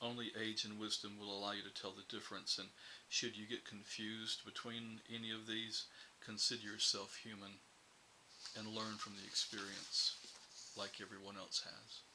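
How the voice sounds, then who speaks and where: The speaker keeps a moderate pace in a monotone, flat delivery over noticeable background noise. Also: man, fairly low pitch for a man. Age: 60s. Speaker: publishing CEO and writer. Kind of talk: reflective advice talk to camera.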